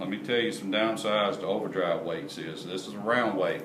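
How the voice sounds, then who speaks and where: With audible room echo and noticeable background noise, a man with a fairly low pitch talks at a fairly quick pace and fairly even intonation. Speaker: parts manufacturer explaining product. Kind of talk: product explanation tutorial. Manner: casual, repetitive.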